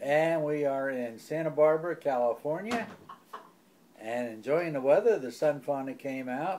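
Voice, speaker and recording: A man with an American accent speaks at a moderate pace and a fairly high pitch. His intonation is lively, over noticeable background noise. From New Jersey and Philadelphia area, US. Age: 80s+. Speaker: family elder interviewed about his life. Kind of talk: oral history interview. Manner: halting, with many pauses and self-corrections.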